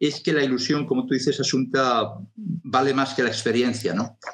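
A man's voice with ordinary pitch variation and very even loudness. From Galicia (Lugo), Spain. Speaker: television producer. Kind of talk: interview. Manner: fast.

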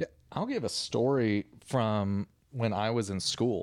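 The recording is very clean and the background is silent. The speaker is a man. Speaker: podcast co-host. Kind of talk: casual chat. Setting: studio.

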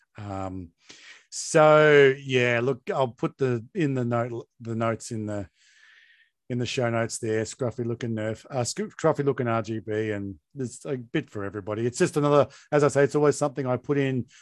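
Dry and close with no echo, a man's medium-pitched voice moves at a moderate pace with ordinary pitch variation over a quiet background. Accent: Australian. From Tasmania, Australia. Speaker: podcast host. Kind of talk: casual chat.

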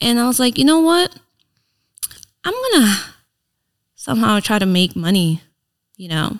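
In a Filipino accent, a woman speaks at a moderate pace. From Philippines, then Reno, US. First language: Tagalog. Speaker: influencer and entrepreneur. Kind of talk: casual interview chat. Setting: studio podcast.

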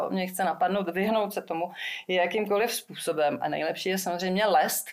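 In an ordinary speaking voice, a woman speaks at a medium pitch and moderate pace with ordinary pitch variation. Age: 40s. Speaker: singer-songwriter. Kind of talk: casual interview.

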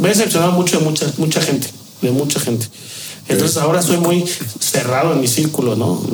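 Amid noticeable background noise and audible room echo, a man with a fairly high pitch talks at a very fast pace with ordinary pitch variation. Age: 30s. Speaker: bartender. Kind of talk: interview.

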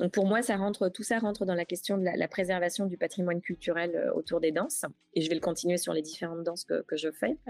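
A woman talks very fast at a fairly low pitch, with ordinary pitch variation and a dry, close sound with no echo. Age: 40s. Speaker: travel agency founder. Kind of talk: interview. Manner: hesitant, frequent fillers.

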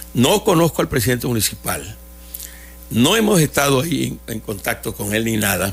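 There is music in the background. Over it, a man speaks at a moderate pace. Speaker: children's entertainer (magician). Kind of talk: radio interview. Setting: radio studio.

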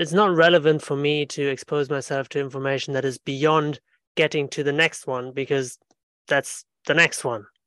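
A man's fairly high pitch with fairly even intonation at a moderate pace, the sound dry and close with no echo. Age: 30s. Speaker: podcast host. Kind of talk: interview conversation. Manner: hesitant, repeating words.

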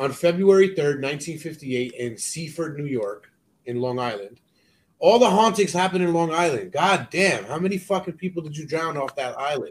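In a normal speaking voice with lively intonation, the speaker moves at a moderate pace. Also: man, fairly high pitch for a man. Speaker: podcast host. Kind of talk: reading aloud.

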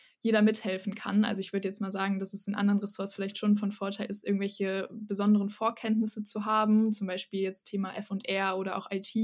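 The speaker moves at a fairly quick pace in a monotone, flat delivery. The voice sounds somewhat breathy. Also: woman. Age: 20s. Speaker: psychology student. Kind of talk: podcast interview.

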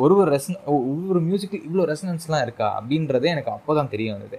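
In a plain, everyday voice, a man talks with lively intonation. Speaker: podcast host. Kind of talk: casual interview conversation. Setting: video call. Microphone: voice distorted, re-recorded afterwards.

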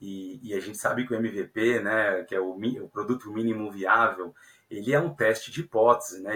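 Here a man speaks at a moderate pace. His medium-pitched voice has a bright, sharp tone. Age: 30s. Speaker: software engineering leader. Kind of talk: podcast interview. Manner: hesitant, many fillers.

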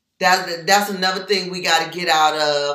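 Audible room echo surrounds a woman speaking in an animated tone. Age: 50s. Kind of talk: casual chat.

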